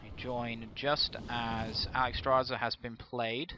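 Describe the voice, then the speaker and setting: With a British accent, a man talks at a very slow pace. His intonation stays fairly even. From UK. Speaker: esports caster. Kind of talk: live commentary. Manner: halting.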